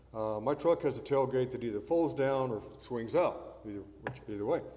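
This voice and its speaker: A man talks at a moderate pace and medium pitch, with ordinary pitch variation. Noticeable background noise and audible room echo fill the recording. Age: 70s. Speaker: preacher. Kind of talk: sermon. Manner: conversational.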